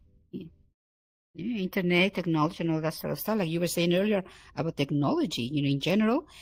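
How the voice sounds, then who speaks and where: A woman with a fairly low pitch talks at a very fast pace with ordinary pitch variation, recorded very cleanly against a silent background. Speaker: VR talk show co-host. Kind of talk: casual chat. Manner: halting, many repeated words.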